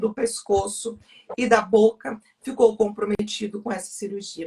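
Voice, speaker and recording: Somewhat breathy, a woman talks at a fairly high pitch with fairly even intonation. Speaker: guest sharing testimony. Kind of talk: testimony.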